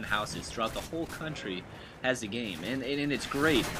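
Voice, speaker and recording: There is noticeable background noise in the recording. Over it, a man speaks fairly quickly. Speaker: gaming YouTuber. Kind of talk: gameplay commentary. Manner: fast; energetic.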